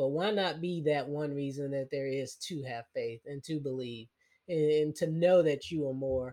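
Fairly high pitch from a man with a slight Southern US accent and fairly even intonation. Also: moderate pace. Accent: slight rural Southern US twang. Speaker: habit strategist and podcaster. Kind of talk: interview conversation. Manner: repeats words when thinking.

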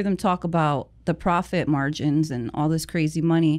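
A woman with an American accent and an ordinary speaking voice, fairly low in pitch with fairly even intonation at a moderate pace, on a very clean recording with a silent background. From New Jersey. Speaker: cleaning business owner. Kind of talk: casual interview. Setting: studio.

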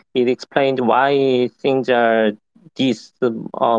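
Delivered at a very slow pace with a Korean accent, the speech is monotone and flat, with a dry, close sound and no echo. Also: man. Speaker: software engineer. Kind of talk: casual chat. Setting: online audio room. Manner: halting.

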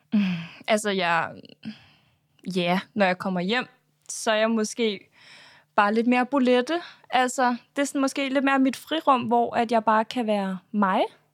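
In a very clean recording with a silent background, a woman with a fairly high pitch and ordinary pitch variation talks at a fairly slow pace, leaving long, frequent pauses. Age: 20s. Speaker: reality TV contestant and influencer. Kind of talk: interview.

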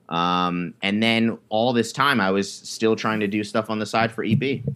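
Someone with an American accent speaks at a fairly slow pace in a bright, sharp tone with ordinary pitch variation, on a very clean recording with a silent background. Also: man. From New York. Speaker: streetwear designer and business owner. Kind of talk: casual interview.

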